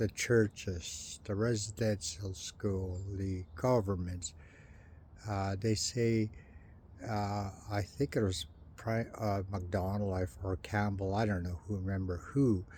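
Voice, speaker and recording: A very slow, somewhat breathy delivery with a dark, mellow tone and fairly even intonation. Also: man, fairly low pitch for a man. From Canada, First Nations. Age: 60s. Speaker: residential school survivor vlogger. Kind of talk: personal monologue vlog. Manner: halting, many fillers.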